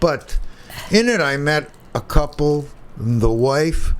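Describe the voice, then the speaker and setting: Noticeable background noise surrounds a man's voice. His pitch is fairly high, with ordinary pitch variation. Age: 70s. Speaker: radio talk show host. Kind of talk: casual interview chat.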